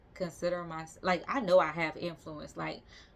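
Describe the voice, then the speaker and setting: With a Southern US accent, a woman talks at a moderate pace. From US South, Georgia (Albany). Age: 30s. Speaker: vlogger. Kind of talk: casual vlog monologue. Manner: casual, conversational with fillers.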